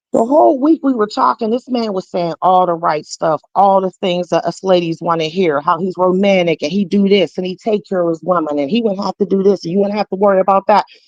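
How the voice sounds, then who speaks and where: With a Pittsburgh accent and an animated tone, a woman talks at a very fast pace in a medium pitch, the sound dry and close with no echo. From Pittsburgh, North View. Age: 40s. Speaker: caller sharing personal story. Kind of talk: testimony.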